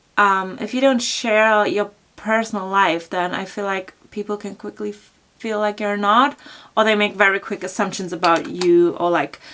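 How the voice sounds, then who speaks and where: A woman speaks with a bright, sharp tone at a medium pitch. Her pace is moderate, and her pitch variation is ordinary. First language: German. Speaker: fashion blogger. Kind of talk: Q&A vlog, casual chat. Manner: casual with many fillers (um, like).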